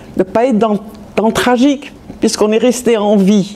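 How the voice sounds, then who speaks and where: Fairly slow speech from a woman with a fairly high pitch, against noticeable background noise. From France (Metz, Lorraine). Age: 70s. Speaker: Holocaust survivor. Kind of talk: testimony. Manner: halting.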